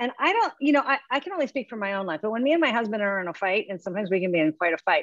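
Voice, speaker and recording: A woman with an American accent and lively intonation, dry and echo-free, over a quiet background. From US Midwest, Nebraska. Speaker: theatre director; panelist. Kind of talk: casual chat. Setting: video call. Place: home room. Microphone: video call.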